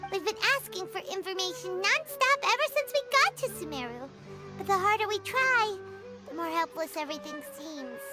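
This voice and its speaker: A put-on character voice at an extremely high pitch moves at a moderate pace. Loud music plays in the background. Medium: game stream. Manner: chatty, expressive.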